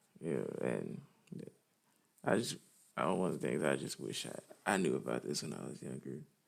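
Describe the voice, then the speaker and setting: With a very deep, low pitch and vocal fry, a man talks at a moderate pace. His pitch varies in an ordinary way, and he takes long, frequent pauses. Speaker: vlogger. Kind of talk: personal testimony. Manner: halting, many fillers.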